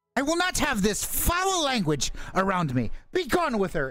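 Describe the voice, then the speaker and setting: In a put-on character voice, the speaker uses a fairly high pitch with very wide pitch swings at a moderate pace. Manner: haughty, disapproving.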